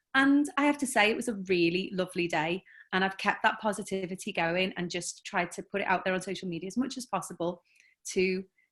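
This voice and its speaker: A woman's medium-pitched voice in a Liverpool accent, fairly quick, with ordinary pitch variation, on a very clean recording with a silent background. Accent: Scouse (Liverpool). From Liverpool, England. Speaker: novelist. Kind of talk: panel interview.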